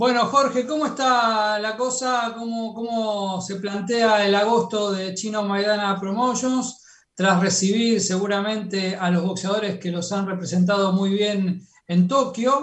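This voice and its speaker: In a room with audible echo, a man with a high voice talks at a fairly slow pace with fairly even intonation. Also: hardly any pauses. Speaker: radio host. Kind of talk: radio interview.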